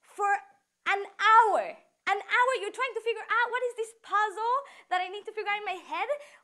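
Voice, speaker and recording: A woman's extremely high, raised, projected voice with a bright, sharp tone, fairly slow, in a Mexican accent. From Mexico. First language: Spanish. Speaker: student speaker. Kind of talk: prepared talk.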